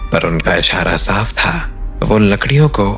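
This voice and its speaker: A man is speaking. Music plays in the background. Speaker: horror storyteller. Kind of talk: horror story narration.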